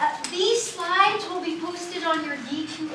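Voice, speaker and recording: Room echo can be heard around the voice. It belongs to a woman with an American accent. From USA. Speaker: university student services staff. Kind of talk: lecture.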